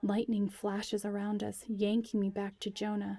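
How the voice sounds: What comes through is a natural reading voice.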